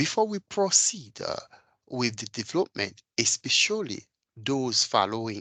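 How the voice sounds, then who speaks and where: Bright and sharp in tone, a man with a non-native accent speaks at a medium pitch with very wide pitch swings, the sound dry and close with no echo over a quiet background. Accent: foreign. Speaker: data engineer and technical trainer. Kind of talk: tutorial. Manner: hesitant, with frequent fillers.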